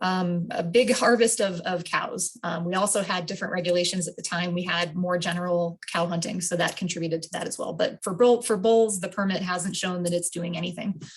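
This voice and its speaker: With an unremarkable speaking voice, a woman talks at a fairly quick pace with fairly low pitch, fairly even intonation and hardly any pauses. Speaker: wildlife biologist. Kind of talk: public meeting presentation. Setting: video call.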